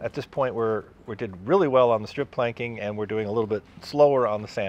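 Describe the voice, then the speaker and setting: Dry sound with no echo from a man, with music in the background. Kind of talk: casual vlog chat. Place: workshop.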